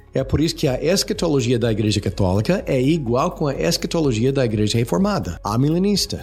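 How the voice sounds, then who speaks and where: Over music in the background, a man with an English accent and medium pitch speaks at a fairly quick pace with hardly any pauses. His loudness stays very even while his pitch swings very widely. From United States. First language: English (speaking Portuguese). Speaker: retired missionary and seminary teacher. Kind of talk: theological discussion. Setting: studio.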